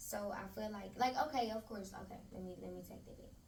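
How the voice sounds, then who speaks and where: A woman with an American accent speaks at a moderate pace, somewhat breathy. Room echo can be heard. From Memphis, Tennessee. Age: 20s. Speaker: interview guest, spa owner. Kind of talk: casual interview chat.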